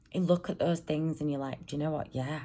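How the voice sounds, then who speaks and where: A woman speaks with a British accent at a very deep, low pitch. Her tone is dark and mellow. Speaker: vlogger, single mum. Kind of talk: casual vlog monologue. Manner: rambling, hesitant with ums; loud at times.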